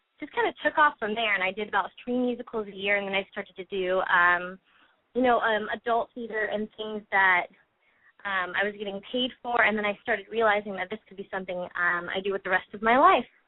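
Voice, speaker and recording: A fairly quick pace with big swings in loudness. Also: woman, medium pitch for a woman, ordinary pitch variation. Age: 20s. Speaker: singer and actress. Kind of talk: interview. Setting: phone call. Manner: hesitant, many fillers.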